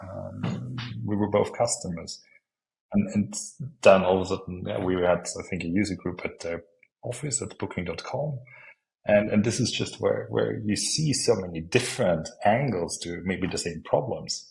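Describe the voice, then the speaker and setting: A man speaks with an Austrian accent. His pace is moderate. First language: German. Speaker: planning software consultant. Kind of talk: podcast interview. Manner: halting.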